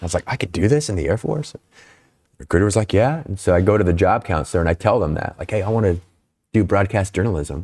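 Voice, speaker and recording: A man in an American accent, fairly low in pitch and somewhat breathy, with lively intonation at a very fast pace. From US Pacific Northwest, Snohomish, Washington. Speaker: senior Air Force enlisted leader, former military broadcaster. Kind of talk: casual interview conversation.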